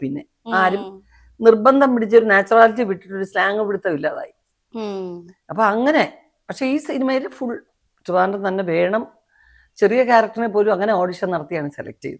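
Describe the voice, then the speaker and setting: A woman with a plain, everyday voice speaks at medium pitch with lively intonation and big swings in loudness, recorded very cleanly against a silent background. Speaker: film actress. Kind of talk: interview answer.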